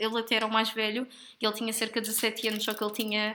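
Here a woman talks with a European Portuguese accent. Her pitch is fairly high and her tone bright and sharp. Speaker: podcast co-host. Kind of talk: casual chat.

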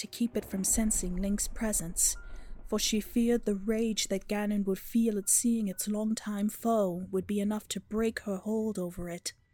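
Her intonation fairly even and her pitch fairly high for a woman, she is heard with music in the background. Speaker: narrator reading a story section. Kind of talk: scripted narration, read-aloud story.

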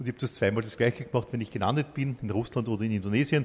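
This is a man's voice at a medium pitch. It sounds somewhat breathy. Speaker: podcast host. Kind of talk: interview.

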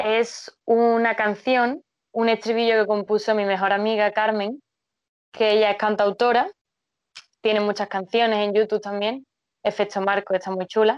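Against a quiet background, the speech is monotone and flat at a moderate pace. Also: woman, fairly high pitch for a woman. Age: 20s. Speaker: biochemist and poet. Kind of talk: casual interview.

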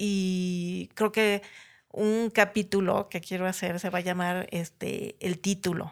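Speaking at a medium pitch in a normal speaking voice, the woman keeps her intonation fairly even. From Mexico City area (Ciudad Satélite), born in Chiapas. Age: 50s. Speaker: graphic designer. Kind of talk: casual interview.

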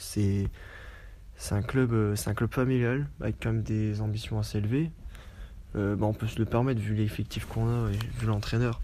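At a moderate pace, a man is speaking. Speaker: football supporter. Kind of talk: casual recorded testimony. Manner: informal, conversational.

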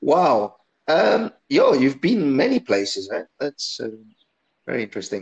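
A man with an Italian accent talks at a fairly slow pace in a dry, close sound with no echo. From Italy. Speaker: podcast host. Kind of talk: interview. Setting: online call from home. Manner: halting.

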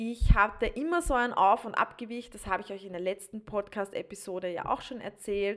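The tone is bright and sharp. The speaker, a woman, pitches her voice fairly high. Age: 20s. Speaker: podcast host and stretching coach. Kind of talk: solo podcast monologue. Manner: animated. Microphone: new podcast microphone.

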